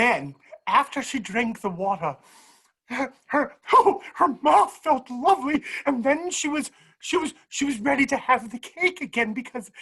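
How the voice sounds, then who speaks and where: A put-on character voice comes through at a high pitch and a moderate pace. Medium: stage play. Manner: scatterbrained, whimsical.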